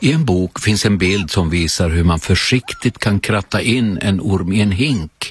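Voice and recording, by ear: Natural-sounding reading aloud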